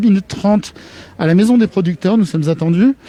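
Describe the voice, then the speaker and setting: Speaking at a very fast pace, a man with a high pitch shows ordinary pitch variation. The sound is dry and close, with no echo. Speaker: web TV presenter. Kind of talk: live outdoor broadcast. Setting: outdoors at a market. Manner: animated.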